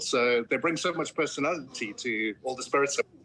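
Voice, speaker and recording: There is noticeable background noise as a man speaks with a South African accent. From South Africa, Durban. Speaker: distiller. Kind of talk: interview.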